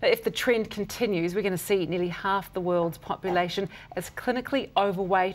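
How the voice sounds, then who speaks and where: A woman with a New Zealand accent talks at a medium pitch with ordinary pitch variation. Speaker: TV presenter. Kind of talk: scripted intro. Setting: studio. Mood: serious with light touches. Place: studio. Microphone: lapel.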